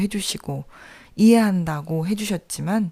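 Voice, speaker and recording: The recording is very clean with a silent background. A woman speaks at a moderate pace and medium pitch, her dark, mellow tone showing ordinary pitch variation. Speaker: podcast host. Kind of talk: reflective podcast monologue.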